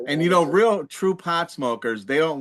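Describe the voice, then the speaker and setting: It is a plain, everyday voice from a man. He speaks at a moderate pace with lively intonation. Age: 60s. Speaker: podcast co-host, army veteran. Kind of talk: casual chat.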